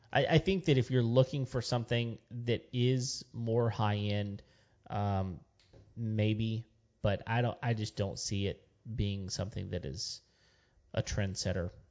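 A man's medium-pitched voice with a Texan accent, fairly slow, with ordinary pitch variation and long, frequent pauses. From West Texas. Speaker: podcast co-host. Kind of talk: casual chat. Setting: studio.

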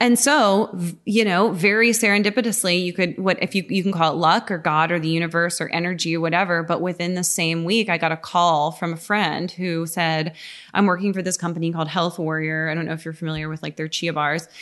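A woman speaks in a normal speaking voice at a fairly low pitch and a fairly quick pace. Her intonation stays fairly even against a quiet background. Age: 30s. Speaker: natural foods chef and cookbook author. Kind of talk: casual chat. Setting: in her home.

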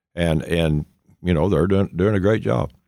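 Over a silent background on a very clean recording, a man with a very deep, low pitch talks at a fairly quick pace with ordinary pitch variation. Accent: Appalachian. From East Tennessee. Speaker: state senator and farmer. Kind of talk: casual chat.

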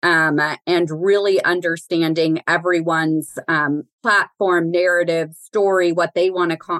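An ordinary speaking voice from a woman with an American accent, fairly low in pitch, fairly slow, with very even loudness, fairly even intonation, and a dry, close sound with no echo. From Southern California, Pasadena area. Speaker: corporate philanthropy executive. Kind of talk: casual interview.

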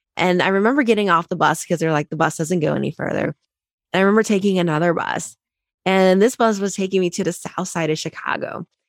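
Someone with an American accent talks at a very fast pace with ordinary pitch variation, in a dry, close sound with no echo. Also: woman, medium pitch for a woman. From Ohio, Cincinnati. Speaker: accountant and author. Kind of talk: interview.

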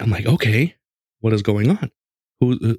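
Here a man speaks in a normal speaking voice. His pitch sits in the medium range. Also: dry, close sound with no echo. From Mexican-American family, US. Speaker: podcast host on gaming. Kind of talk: casual chat, storytelling.

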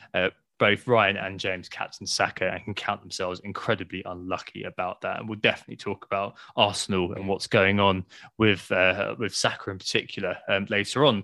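Against a quiet background, a man with an English accent and fairly low pitch talks at a fairly quick pace in a bright, sharp tone with fairly even intonation, the sound dry and close with no echo. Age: 30s. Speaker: fantasy football podcast host. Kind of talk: casual chat. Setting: at home.

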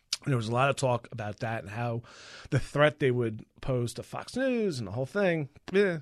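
In an American accent, a man with a normal speaking voice and medium pitch talks at a moderate pace with lively intonation. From Long Island, New York. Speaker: entertainment reporter. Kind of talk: casual chat.

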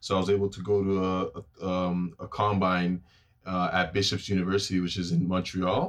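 A man with a Toronto accent, a very deep, low pitch and monotone, flat intonation on a very clean recording with a silent background. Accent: Toronto Canadian English. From Toronto, Canada. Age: 20s. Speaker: professional football player. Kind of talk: casual interview chat.

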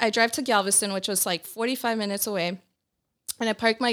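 A woman with a normal speaking voice talks at a fairly quick pace with ordinary pitch variation on a very clean recording with a silent background. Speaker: guest. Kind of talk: casual chat.

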